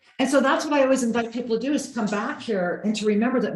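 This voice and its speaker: There is noticeable background noise and audible room echo around this woman's voice. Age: 60s. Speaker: spiritual teacher. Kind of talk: interview in video call. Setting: video call. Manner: animated.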